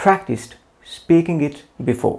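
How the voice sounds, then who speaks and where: Speaking in a non-native accent, the man has a dark, mellow tone. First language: not English. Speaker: English teacher. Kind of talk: channel introduction.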